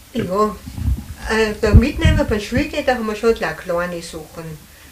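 Noticeable background noise behind a woman's voice, its pitch varying an ordinary amount. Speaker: contemporary witness. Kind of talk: interview.

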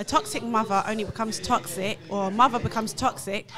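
A woman at a fairly quick pace with ordinary pitch variation, noticeable background noise behind her. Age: 30s. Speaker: panel guest; guest. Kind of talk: casual debate. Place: studio. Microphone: studio mic.

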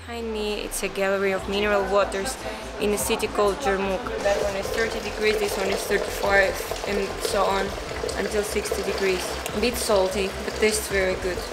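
A woman speaking at a moderate pace over music in the background. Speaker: travel vlogger. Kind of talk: casual vlog chat. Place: hall.

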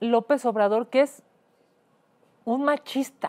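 The voice moves at a very slow pace with lively intonation against a quiet background. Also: woman. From Mexico. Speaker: host and politician. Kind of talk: rally or protest speech, denouncing president. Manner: indignant, forceful, declamatory. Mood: indignant, emphatic. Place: studio.

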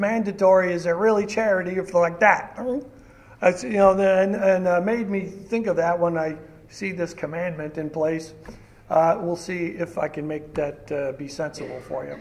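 Speaking at a moderate pace, a man with a high-pitched voice keeps his intonation fairly even. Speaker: pastor. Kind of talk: sermon. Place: church. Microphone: podium.

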